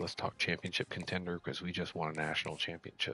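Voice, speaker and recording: A very deep, low male voice with vocal fry, a bright, sharp tone and a very fast pace. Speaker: gaming streamer. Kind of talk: live gameplay commentary. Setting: at home at night, others asleep.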